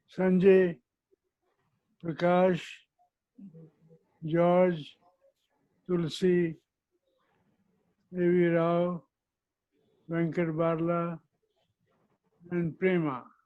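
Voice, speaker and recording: Very slow and broken by long, frequent pauses, the voice has a dark, mellow tone and flat, monotone intonation. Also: man, high pitch for a man. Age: 80s+. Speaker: retired company chairman. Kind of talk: keynote speech.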